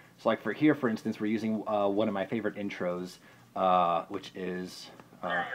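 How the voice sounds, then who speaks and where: There is noticeable background noise behind a man's voice. He speaks at a fairly low pitch with fairly even intonation. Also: moderate pace. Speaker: podcaster and video creator. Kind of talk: tutorial. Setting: bedroom at home. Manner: stutter; hesitant, many fillers.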